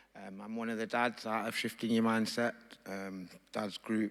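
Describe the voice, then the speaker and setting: Speaking fairly quickly with an East Midlands accent, a man keeps a medium pitch and fairly even intonation. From Nottingham, England. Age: 40s. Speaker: father from a dads group. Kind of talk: personal testimony.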